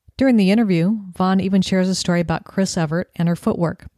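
A woman's medium-pitched voice carries a dark, mellow tone and fairly even intonation. It is a very clean recording with a silent background. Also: dry, close sound with no echo. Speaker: podcast host. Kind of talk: interview.

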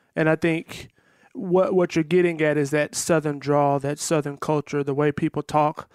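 With a Texan accent, a man talks at a moderate pace and fairly high pitch, his intonation fairly even, in a dry, close sound with no echo. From Texas. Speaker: educator. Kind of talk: casual chat.

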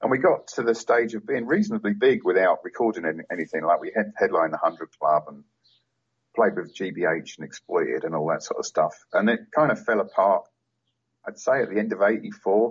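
Speaking at a fairly quick pace, a man talks with a London accent. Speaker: punk photographer, author and vocalist. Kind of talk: interview. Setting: phone or remote call.

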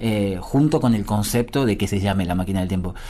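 The man's intonation is lively. His tone is dark and mellow. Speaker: musician and bandleader. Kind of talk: interview. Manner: halting, many fillers and repetitions.

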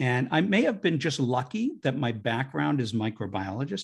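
A somewhat breathy male voice at medium pitch, fairly quick in pace, against a quiet background. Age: 60s. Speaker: digestive health researcher and author. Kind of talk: interview.

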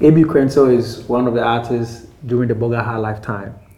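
Audible room echo surrounds a man who speaks at a medium pitch with fairly even intonation. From Ghana (Accra). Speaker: rapper. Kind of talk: interview. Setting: at home.

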